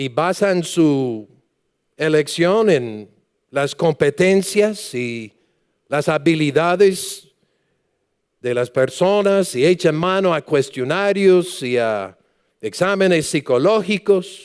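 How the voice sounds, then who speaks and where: A man with a high pitch talks at a very slow pace, leaving long, frequent pauses. His intonation stays lively. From United States. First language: English (speaking Spanish). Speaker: pastor. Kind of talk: sermon. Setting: church.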